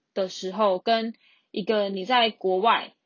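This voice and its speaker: Speaking with a Taiwanese accent, a woman holds a medium pitch. Her intonation stays fairly even. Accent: Taiwanese Mandarin. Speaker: podcast host, tour leader. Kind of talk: casual solo monologue. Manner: flat, monotone.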